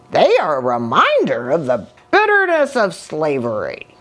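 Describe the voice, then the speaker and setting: A woman performs a put-on character voice. She holds a moderate pace. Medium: read story. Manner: earnest, formal.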